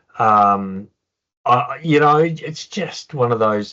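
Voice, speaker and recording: Ordinary pitch variation marks this man's delivery. He talks in an Australian accent. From Melbourne, Australia. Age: 60s. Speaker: former professional footballer. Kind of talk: interview.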